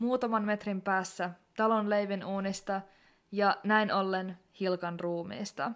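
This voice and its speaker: A woman at medium pitch, in a very clean recording with a silent background. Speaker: podcast host. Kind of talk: true-crime narration, scripted-sounding. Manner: serious, measured; somber, grave tone, deliberate pace.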